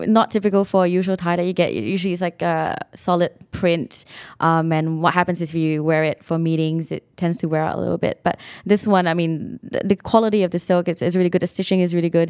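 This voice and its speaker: At a very fast pace, a woman speaks with a fairly low pitch and fairly even intonation. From Singapore. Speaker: startup founder. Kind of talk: interview.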